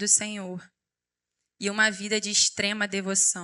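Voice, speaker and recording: Against a quiet background, a woman with a fairly high, bright and sharp voice speaks very slowly in a flat monotone. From Rio de Janeiro, Brazil. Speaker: preacher, youth pastor. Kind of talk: sermon. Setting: church stage with audience.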